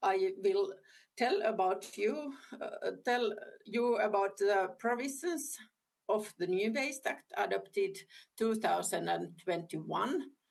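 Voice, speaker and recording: Speaking at a very slow pace with a non-native accent, a woman keeps her loudness very even. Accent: non-fluent English. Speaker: government ministry official. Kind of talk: conference presentation. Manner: halting.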